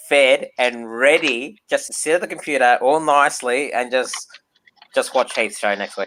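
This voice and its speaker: Delivery is at a moderate pace. It comes in an Australian accent. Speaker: model train hobbyist. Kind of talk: casual livestream chat.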